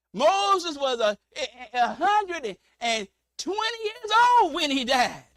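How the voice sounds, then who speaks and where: A man projects his raised voice at an extremely high pitch with very wide swings and a bright, sharp tone, and the sound is dry and close with no echo. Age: 60s. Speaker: preacher. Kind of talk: sermon. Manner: animated.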